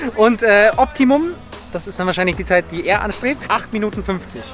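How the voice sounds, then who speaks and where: With faint music in the background, a man talks at a fairly quick pace and a high pitch, the sound dry with no echo. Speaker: fitness vlogger. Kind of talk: casual vlog chat. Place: stadium. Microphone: phone near.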